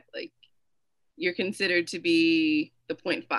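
The tone is bright and sharp. Delivery moves at a moderate pace. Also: woman. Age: 20s. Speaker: comedian. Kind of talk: casual chat.

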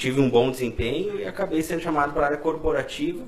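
A man speaks very fast with lively intonation in a Rio Grande do Sul accent. Noticeable background noise and audible room echo are present. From Brazil, Caxias do Sul. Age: 30s. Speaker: salesman and former political aide. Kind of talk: casual interview.

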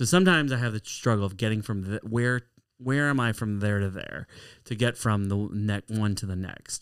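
A man with an American accent has an unremarkable speaking voice, fairly low in pitch with ordinary pitch variation. He keeps a moderate pace in a very clean recording with a silent background. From Chicago area (Skokie), US. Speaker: stand-up comedian. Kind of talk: casual interview chat. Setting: studio (office).

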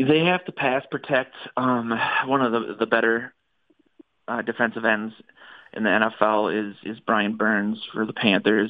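A man speaks at a fairly slow pace with a plain, everyday voice. His pitch is medium and varies in an ordinary way. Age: 30s. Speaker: sports blogger and podcaster. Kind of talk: casual chat. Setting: phone call.

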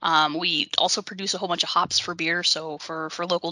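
Over noticeable background noise, a woman with an American accent and a fairly low pitch talks at a fairly quick pace in a monotone, flat intonation, with a dry, close sound and no echo. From Idaho, US (Boise). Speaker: call center training director. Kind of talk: casual chat.

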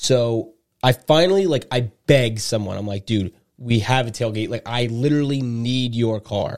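At a fairly slow pace, a man with a medium pitch speaks in a very clean recording with a silent background. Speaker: podcast co-host. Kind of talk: casual chat. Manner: animated.

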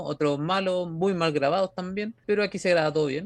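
Recorded with a dry, close sound and no echo, a man speaks in a Chilean accent with ordinary pitch variation. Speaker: podcast host. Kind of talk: casual chat.

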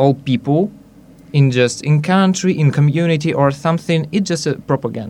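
The speaker has a Russian accent and talks at a moderate pace with ordinary pitch variation. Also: man. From Belarus, Minsk. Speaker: youth exchange participant.

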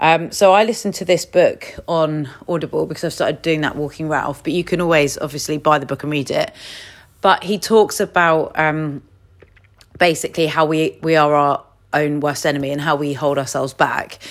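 A woman with an English accent speaks at a moderate pace in a very deep, low voice, her intonation fairly even. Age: 30s. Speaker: podcast host, coach. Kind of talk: solo casual talk.

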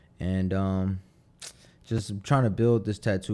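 The speaker has a Philadelphia accent. The tone is dark and mellow. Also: man. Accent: Philadelphia urban American. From Philadelphia, US Northeast. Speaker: tattoo artist. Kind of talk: casual interview chat.

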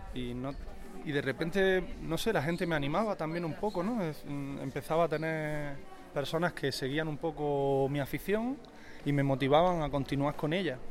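Moderate pace from a man with a plain, everyday voice, a fairly high pitch and ordinary pitch variation. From Andalusia, Spain. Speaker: painter and tattoo artist. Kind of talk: casual chat. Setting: outdoors.

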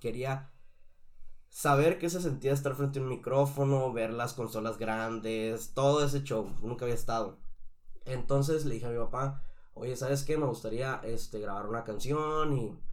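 With fairly even intonation and a medium pitch, a man's voice carries audible room echo. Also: moderate pace. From Mexico, Sonora. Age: 20s. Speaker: singer. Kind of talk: casual interview chat.

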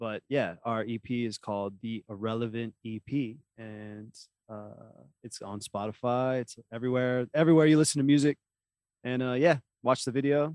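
A man in an ordinary speaking voice talks at a moderate pace and medium pitch, with ordinary pitch variation and big swings in loudness, the sound dry and close with no echo. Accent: American. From Oklahoma. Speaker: musician. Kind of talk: casual chat.

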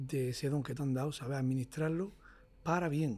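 His voice is fairly high-pitched for a man, somewhat breathy, with a dark, mellow tone. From Motril, Granada, Andalusia, Spain. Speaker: flamenco guitarist. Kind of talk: casual interview conversation. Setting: jazz club.

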